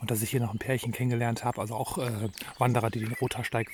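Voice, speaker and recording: Over noticeable background noise, a man at medium pitch speaks at a very fast pace with fairly even intonation. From Germany, Sauerland. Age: 50s. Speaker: long-distance hiker and vlogger. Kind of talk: video diary. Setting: outdoors at a hut village on a trail.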